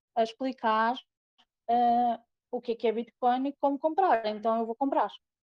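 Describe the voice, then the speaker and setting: A dark, mellow tone at a moderate pace, with a Portuguese accent and a dry, close sound with no echo. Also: woman. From Portugal. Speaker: crypto investor. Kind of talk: casual chat.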